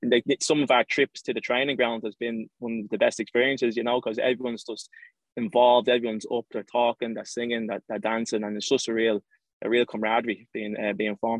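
In an Irish accent, a man talks at a very fast pace with a medium pitch and monotone, flat intonation. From Ireland. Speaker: professional footballer. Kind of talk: interview.

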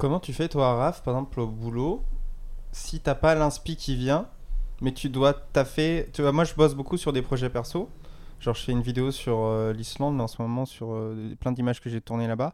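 A moderate pace with ordinary pitch variation. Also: man, medium pitch for a man. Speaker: podcast co-host. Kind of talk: casual chat. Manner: calm.

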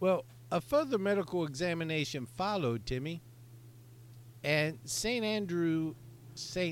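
Lively in intonation, a man with a normal speaking voice and fairly high pitch speaks at a fairly slow pace. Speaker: podcast co-host. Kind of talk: casual comedic chat.

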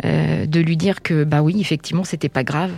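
Her intonation fairly even and her pace moderate, a woman speaks with a very deep, low pitch. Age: 40s. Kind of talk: testimony. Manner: calm; halting, hesitant.

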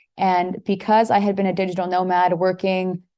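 Speaking in a Canadian accent, a woman has a medium-pitched voice with a dark, mellow tone. The background is quiet. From Toronto, Canada. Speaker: entrepreneur, virtual tour photographer. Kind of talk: casual chat.

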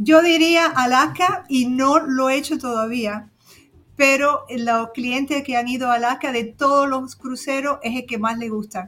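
The tone is bright and sharp, delivered at a fairly slow pace with ordinary pitch variation. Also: woman, high pitch for a woman. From Cuba. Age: 60s. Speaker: cruise travel agent. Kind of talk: casual chat.

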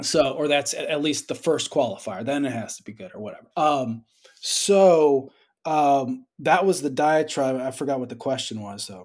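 A man with an American accent speaks in an unremarkable speaking voice, fairly high in pitch, with ordinary pitch variation. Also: moderate pace, big swings in loudness. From Georgia, US South. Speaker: independent filmmaker. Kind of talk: casual interview.

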